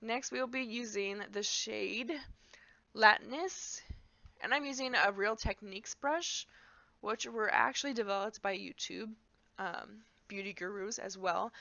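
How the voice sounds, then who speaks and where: Fairly slow speech with vocal fry, ordinary pitch variation and long, frequent pauses. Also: woman, fairly high pitch for a woman. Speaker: beauty youtuber. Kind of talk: makeup tutorial voiceover. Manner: casual, chatty.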